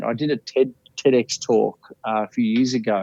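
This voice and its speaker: This man has an Australian accent and a medium pitch. His intonation is lively. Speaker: life coach, bucket list speaker. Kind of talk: podcast interview answer. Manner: energetic, passionate.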